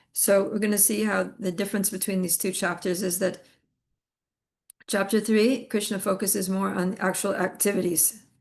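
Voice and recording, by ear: Using a put-on character voice, a woman speaks raspily at a medium pitch and moderate pace in a monotone, flat delivery.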